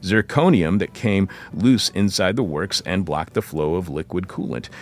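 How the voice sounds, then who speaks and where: The voice carries an American accent. Vocal fry runs through the speech. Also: man. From Michigan. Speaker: radio host. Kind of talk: radio interview and show intro. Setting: studio.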